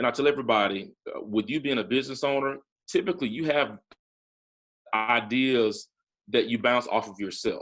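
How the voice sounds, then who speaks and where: Speaking at a moderate pace, a man with a Southern US accent has a medium pitch and ordinary pitch variation. He makes long, frequent pauses. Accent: Southern American. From Talladega, Alabama. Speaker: entrepreneur, former investment banker. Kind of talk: interview answer.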